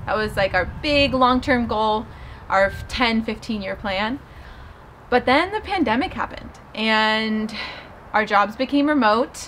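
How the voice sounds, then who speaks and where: A woman's fairly high voice with ordinary pitch variation, at a fairly slow pace with long, frequent pauses over light background noise. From Southern California. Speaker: lifestyle vlogger. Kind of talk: casual vlog monologue. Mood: reflective, calm. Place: garden.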